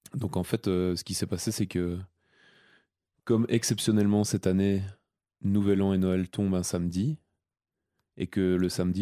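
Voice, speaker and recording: On a very clean recording with a silent background, a man speaks at a fairly slow pace. His very deep, low voice has a dark, mellow tone and ordinary pitch variation. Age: 30s. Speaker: podcast host, seasonal ski resort worker. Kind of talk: casual chat.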